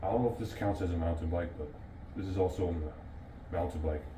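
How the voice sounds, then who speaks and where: A man speaks with a very deep, low pitch. Audible room echo and noticeable background noise surround his voice. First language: not English. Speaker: bike vlogger. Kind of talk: casual video review. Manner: halting, repetitive.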